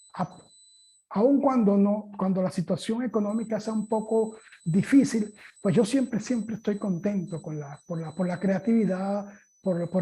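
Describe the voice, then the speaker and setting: The man's voice is high-pitched with a dark, mellow tone. His pitch varies in an ordinary way. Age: 60s. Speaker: guitar teacher and concert musician. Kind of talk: interview. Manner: halting.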